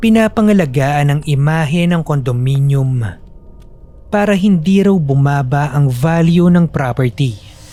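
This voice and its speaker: With an unremarkable speaking voice, a man talks at a fairly slow pace and fairly high pitch, his intonation lively and his loudness very even. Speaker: narrator and voice actor of horror stories. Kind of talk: horror story narration, with submitted stories read aloud. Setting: home studio recording.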